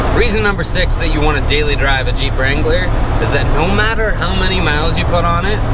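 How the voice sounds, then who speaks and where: Loud background noise surrounds a man speaking at a fairly quick pace. The sound itself is dry, with no echo. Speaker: car vlogger. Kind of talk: casual vlog chat. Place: car. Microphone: phone near.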